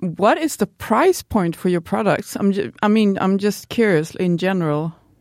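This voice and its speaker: Her pitch medium and her intonation lively, a woman speaks with a Swedish accent in a dry, close sound with no echo on a very clean recording with a silent background. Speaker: podcast co-host. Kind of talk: scripted intro.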